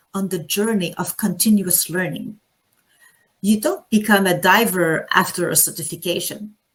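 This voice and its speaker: In a French accent, a woman speaks at a medium pitch and moderate pace. Her voice is somewhat breathy. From Quebec, Canada. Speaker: anesthesiologist and diving instructor. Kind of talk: conference talk.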